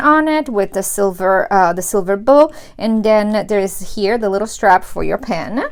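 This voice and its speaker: A woman's fairly high voice at a moderate pace with lively intonation, noticeable background noise behind it. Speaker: planner supply unboxing youtuber. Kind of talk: product unboxing tutorial. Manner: animated, enthusiastic.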